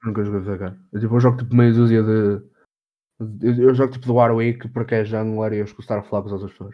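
A man rattles along at a very fast pace and medium pitch in a monotone, flat intonation. His loudness swings widely. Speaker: podcast co-host. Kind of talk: casual chat.

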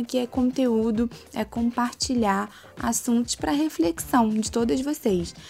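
In a Carioca accent, the somewhat breathy voice shows ordinary pitch variation. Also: woman. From Rio de Janeiro, Brazil. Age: 30s. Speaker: podcast host. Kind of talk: personal monologue.

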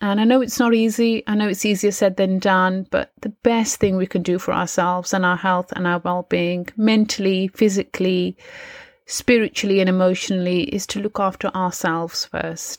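An unremarkable speaking voice from a woman, medium in pitch, fairly even in intonation and moderate in pace, with a dry, close sound and no echo. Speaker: mindset coach and meditation teacher. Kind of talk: guided meditation. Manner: warm, encouraging.

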